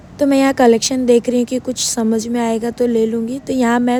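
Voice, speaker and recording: This woman has a high pitch and speaks at a moderate pace in a monotone, flat intonation. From Guwahati, Assam, India. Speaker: vlogger. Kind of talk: vlog narration.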